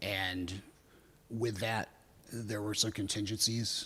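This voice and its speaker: The man's voice is fairly low with a bright, sharp tone. He speaks in a flat monotone. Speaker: city department official presenting project. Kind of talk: council committee meeting testimony.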